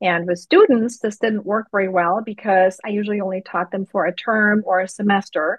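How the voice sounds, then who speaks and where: A woman with a German accent speaks at medium pitch with fairly even intonation. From Germany. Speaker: financial advisor. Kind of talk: interview.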